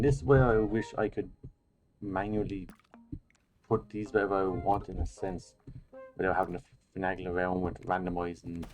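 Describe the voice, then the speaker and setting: Over background music, a man with a very deep, low voice speaks quietly at a fairly quick pace, leaving long, frequent pauses. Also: ordinary pitch variation. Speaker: gaming youtuber. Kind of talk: relaxed gameplay commentary. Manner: quiet, low-key.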